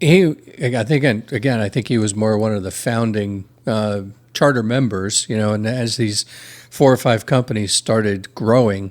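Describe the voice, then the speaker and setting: At a moderate pace, a man speaks in a plain, everyday voice with a fairly low pitch and ordinary pitch variation. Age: 60s. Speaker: podcast guest. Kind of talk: casual chat.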